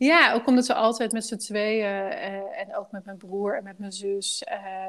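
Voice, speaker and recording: A woman of medium pitch with ordinary pitch variation, an ordinary speaking voice. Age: 40s. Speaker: life coach. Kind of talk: casual interview.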